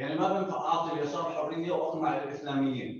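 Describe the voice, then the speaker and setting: A normal speaking voice from a man, fairly high in pitch, fairly quick in pace, with ordinary pitch variation. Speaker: audience member. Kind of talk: open forum question.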